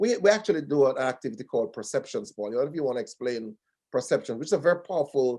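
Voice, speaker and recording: A very fast-talking man with a Jamaican accent, dark, mellow tone and lively intonation. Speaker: diversity training consultant. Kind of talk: webinar panel discussion.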